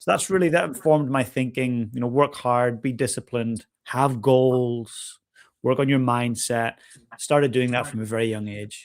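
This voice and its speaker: With a Northern Irish accent, a man speaks at a moderate pace and medium pitch, his intonation fairly even. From Northern Ireland. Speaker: executive coach and world champion drummer. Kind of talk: interview.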